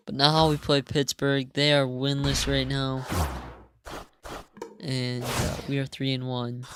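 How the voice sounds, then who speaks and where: Delivery is very slow. Long pauses break it up frequently. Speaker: gaming youtuber. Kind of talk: gameplay commentary voiceover. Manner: casual, hesitant with fillers.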